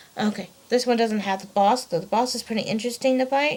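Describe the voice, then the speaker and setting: A woman speaks very fast at a fairly high pitch with ordinary pitch variation, and there is noticeable background noise. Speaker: gaming vlogger. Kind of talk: casual vlog monologue. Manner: halting, many fillers.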